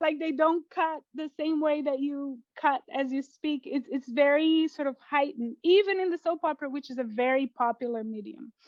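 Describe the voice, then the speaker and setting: A woman with a Portuguese accent and high pitch, at a moderate pace with hardly any pauses and ordinary pitch variation. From Brazil, Brasilia. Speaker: poet and fiction writer. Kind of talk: interview. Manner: hesitant, many fillers.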